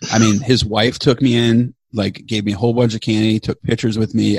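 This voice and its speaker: With an American accent, a man talks at a fairly quick pace in a fairly low, somewhat breathy voice, his intonation monotone and flat, the sound dry and close with no echo. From Chicago, US Midwest. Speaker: podcast co-host and producer. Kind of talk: casual interview chat.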